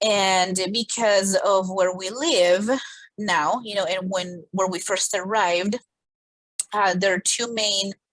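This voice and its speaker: In a Spanish accent, a woman speaks at a very slow pace and medium pitch with fairly even intonation. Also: dry, close sound with no echo. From Colombia. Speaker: podcast co-host. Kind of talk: casual chat.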